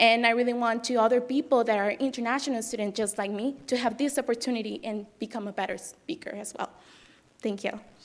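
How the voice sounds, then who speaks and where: A woman's fairly high voice at a very fast pace with fairly even intonation. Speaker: international college student, debate team member. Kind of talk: prepared speech at board meeting. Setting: board meeting room.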